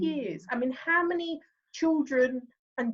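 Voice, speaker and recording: This woman speaks in a high-pitched voice. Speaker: podcast host, sales consultant. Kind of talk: podcast interview host.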